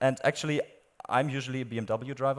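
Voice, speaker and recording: In a very clean recording with a silent background, a man with a German accent speaks at a fairly quick pace in a flat monotone at a medium pitch. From Germany. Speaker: AI product specialist. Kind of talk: live product demo. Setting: stage with audience.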